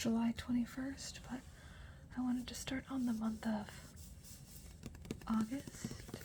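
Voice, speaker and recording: A soft-spoken woman talks in a monotone, flat intonation. Noticeable background noise sits behind her. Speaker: new mother. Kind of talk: ASMR journaling talk.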